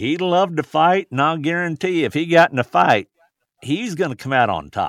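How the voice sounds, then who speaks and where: A man with a normal speaking voice, fairly high pitch, lively intonation and a moderate pace, in a dry, close sound with no echo. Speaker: bereaved grandfather, suicide prevention advocate. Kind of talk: testimony.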